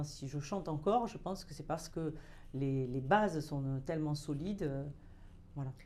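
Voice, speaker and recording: The voice has a dark, mellow tone and ordinary pitch variation. Audible room echo is present. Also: woman. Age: 60s. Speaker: opera singer. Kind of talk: interview. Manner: hesitant.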